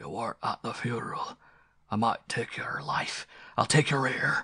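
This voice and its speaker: A raspy, put-on character voice delivers its lines at a moderate pace. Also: man, medium pitch for a man. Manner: stern, threatening.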